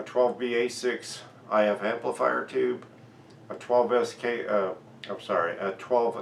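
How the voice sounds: Audible room echo surrounds a man speaking at a slow pace. His tone is fairly bright, with vocal fry.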